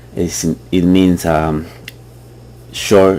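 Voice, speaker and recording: His pitch sits very deep and low. The man's delivery rises and falls in a lively way. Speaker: trading tutorial youtuber. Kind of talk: tutorial. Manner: hesitant, many fillers.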